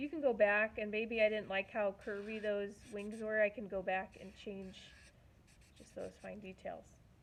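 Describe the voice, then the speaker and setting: A woman speaks in a plain, everyday voice, her pitch fairly high. Her intonation stays fairly even while her loudness swings widely. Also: moderate pace. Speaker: art teacher. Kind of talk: tutorial.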